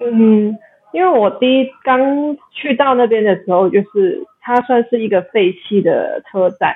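Speech moves at a fairly slow pace with lively intonation. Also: woman. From Macau. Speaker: backpacker and volunteer. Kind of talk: casual interview chat. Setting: remote call. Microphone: low-bandwidth connection, some lag.

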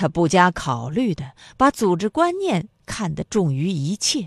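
A woman's medium-pitched voice, warm and dramatic, with very wide pitch swings at a very slow pace, dry and close with no echo over a quiet background. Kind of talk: literary audiobook reading. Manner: measured narrator, shifting into character voices; expressive, warm, slightly dramatic.

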